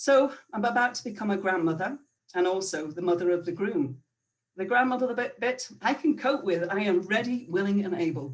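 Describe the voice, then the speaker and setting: A woman with a Northern Irish accent, lively intonation and a moderate pace. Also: medium pitch for a woman. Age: 50s. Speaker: storyteller. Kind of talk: personal storytelling.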